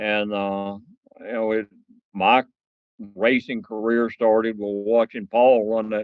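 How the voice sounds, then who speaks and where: A man speaks with a Southern US accent in a fairly low pitch. His pace is fairly slow and his intonation is monotone and flat. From US South, northeast Mississippi. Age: 70s. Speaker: land speed racer and car collector. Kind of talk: podcast interview. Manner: halting, many fillers.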